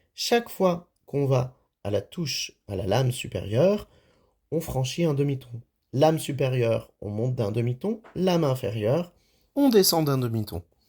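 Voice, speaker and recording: On a very clean recording with a silent background, a man's medium-pitched, dark, mellow, somewhat breathy voice moves at a fairly slow pace with lively intonation. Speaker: music teacher. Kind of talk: tutorial. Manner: halting.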